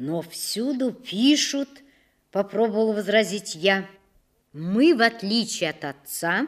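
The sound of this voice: The backdrop stays quiet. Intonation is lively in this unforced reading voice.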